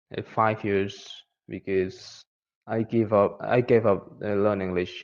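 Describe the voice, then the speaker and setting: A man with an Indonesian accent speaks at a very slow pace. His fairly low voice stays monotone and flat. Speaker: English learner. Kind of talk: personal testimony. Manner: halting, many fillers.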